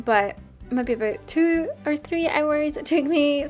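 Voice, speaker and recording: With a Scottish accent and a relaxed tone, a woman speaks at a high pitch as music plays in the background. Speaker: gaming YouTuber. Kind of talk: casual game commentary. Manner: chatty, relaxed.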